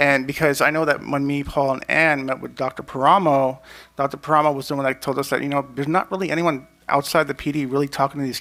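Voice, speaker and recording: Talking very fast, a man uses a fairly high pitch and a bright, sharp tone with monotone, flat intonation. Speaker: police commissioner. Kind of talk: public meeting discussion. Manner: mumbling.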